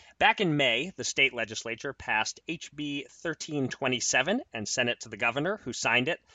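This man speaks at a moderate pace with lively intonation and a fairly high pitch. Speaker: podcast host and editor. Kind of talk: casual podcast chat.

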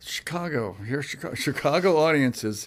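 An unremarkable speaking voice moves at a fairly slow pace with lively intonation on a very clean recording with a silent background. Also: man. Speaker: musician. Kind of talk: casual interview.

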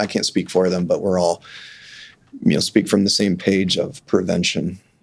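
A normal speaking voice from a man with an American accent, fairly low-pitched and fairly quick, with fairly even intonation. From Kansas (Sedgwick). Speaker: optometrist. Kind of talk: interview. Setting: studio.

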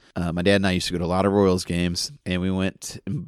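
A man's very deep, low voice at a very fast pace, fairly even in intonation, on a very clean recording with a silent background. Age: 30s. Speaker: guest interviewer in recovery. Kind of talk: casual interview. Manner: halting.

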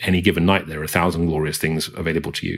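The man speaks with a strong British accent. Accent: British, thick. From England. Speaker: arts CEO and author. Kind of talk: interview conversation.

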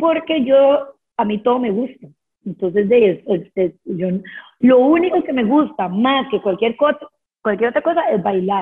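A woman speaks at a fairly slow pace with a high pitch. Her voice swings very widely in pitch. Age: 30s. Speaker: dance teacher. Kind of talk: casual chat. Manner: animated.

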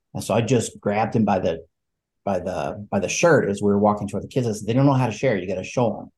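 Pitched fairly low, a man talks at a very fast pace with ordinary pitch variation and a somewhat breathy quality. The background is quiet. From northeast Alabama. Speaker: education coach. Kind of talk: interview.

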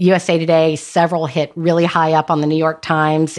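A woman with a normal speaking voice and an American accent, fairly low in pitch, at a moderate pace on a very clean recording with a silent background. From North Carolina. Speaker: author. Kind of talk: interview.

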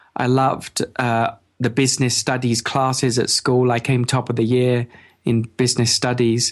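In an English accent, a man speaks at a medium pitch and a moderate pace. His intonation is monotone and flat, and his loudness is very even. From England. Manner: halting.

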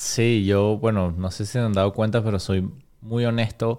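A man with an ordinary speaking voice, at a moderate pace and with fairly even intonation, on a very clean recording with a silent background. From Venezuela, Caracas. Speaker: business owner. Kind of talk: interview.

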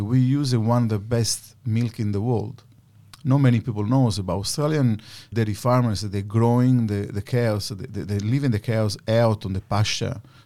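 A man speaks with an Italian accent and fairly even intonation. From Sicily, Italy. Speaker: cheesemaker and business owner. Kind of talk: interview.

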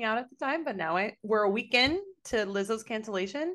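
A woman at a fairly high pitch, an unremarkable speaking voice, fairly quick pace and lively intonation over a quiet background. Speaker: podcast co-host. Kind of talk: casual chat.

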